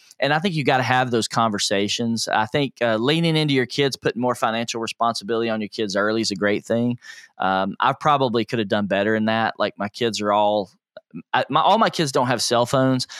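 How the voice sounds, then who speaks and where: An ordinary speaking voice with an American accent moves at a fairly quick pace with ordinary pitch variation. The recording is very clean with a silent background, dry and close with no echo. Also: man, medium pitch for a man. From US South (Nashville, Tennessee). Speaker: personal finance coach. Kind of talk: interview.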